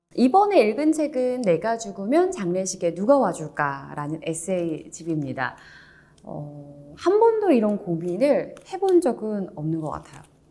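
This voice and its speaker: Against noticeable background noise, a woman with a calm, soothing tone speaks at a medium pitch and a fairly slow pace, with very wide pitch swings and big swings in loudness. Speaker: announcer; audiobook narrator. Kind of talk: book review talk.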